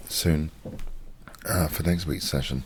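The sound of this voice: The delivery is at a slow pace with ordinary pitch variation. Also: man.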